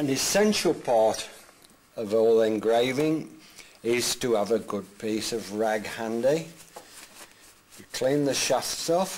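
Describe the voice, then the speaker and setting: Over noticeable background noise, a man with a medium-pitched voice talks at a very slow pace with ordinary pitch variation and long, frequent pauses. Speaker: glass engraver. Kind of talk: instructional demonstration. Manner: casual, thinking aloud.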